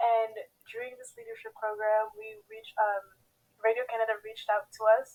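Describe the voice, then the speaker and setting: Her loudness swings widely while her intonation stays fairly even. The woman speaks at a fairly quick pace. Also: fairly high pitch for a woman. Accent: Haitian. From Haiti. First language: Haitian Creole. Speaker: pageant contestant. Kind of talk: interview.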